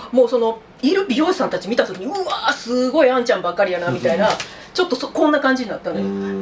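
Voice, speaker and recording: Over noticeable background noise, a woman speaks at a very fast pace. Her high-pitched voice swings very widely. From Kansai. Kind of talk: casual podcast-style chat.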